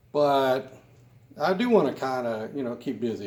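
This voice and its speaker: A man's medium-pitched voice at a moderate pace, with lively intonation and audible room echo. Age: 60s. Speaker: gaming YouTuber. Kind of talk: gameplay commentary. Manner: casual, conversational.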